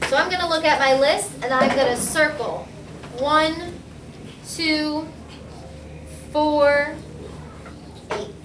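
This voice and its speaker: Fairly slow speech from a woman amid noticeable background noise and audible room echo. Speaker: math teacher. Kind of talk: tutorial.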